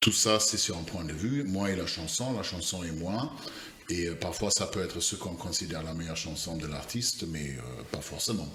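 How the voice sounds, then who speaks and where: With a non-native accent, a man speaks at a very deep, low pitch and a moderate pace, his intonation lively amid noticeable background noise and audible room echo. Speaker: podcast co-host. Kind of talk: casual chat. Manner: hesitant, many fillers.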